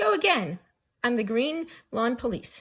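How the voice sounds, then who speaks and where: A woman puts on a character voice, pitched fairly high. Her pitch swings very widely. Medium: read story. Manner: friendly.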